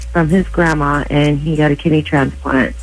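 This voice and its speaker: A woman talks over music in the background. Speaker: mother of a kidney transplant patient, radio caller. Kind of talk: radio listener phone call, telling a story.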